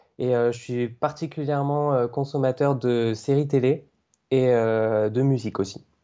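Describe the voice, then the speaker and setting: Speaking at a very slow pace, a man uses a medium pitch, fairly even intonation and very even loudness. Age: 20s. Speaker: aspiring video game journalist, blogger. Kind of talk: podcast interview. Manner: hesitant, many fillers.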